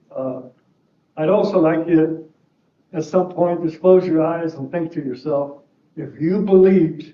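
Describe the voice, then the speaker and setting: A man's fairly high-pitched voice at a fairly slow pace, with long, frequent pauses and audible room echo. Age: 70s. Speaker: defendant in a civil trial, serving a prison sentence. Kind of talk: courtroom statement. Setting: courtroom.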